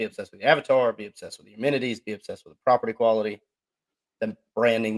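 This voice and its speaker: In a dry, close recording with no echo, a man with a Southern accent talks very fast. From US South, Georgia. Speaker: podcast co-host. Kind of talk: casual chat. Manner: animated.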